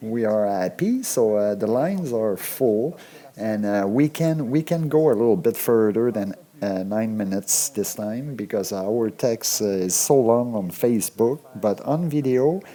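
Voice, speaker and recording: Someone with a French accent speaks at a fairly slow pace with ordinary pitch variation. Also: man, medium pitch for a man. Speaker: radio show host. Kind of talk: casual comedic monologue. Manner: halting, repetitive.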